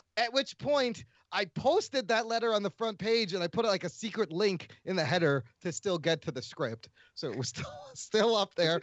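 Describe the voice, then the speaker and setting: This man has a high pitch and an American accent. His pitch swings very widely as he talks at a moderate pace. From USA. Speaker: podcaster. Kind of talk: casual chat.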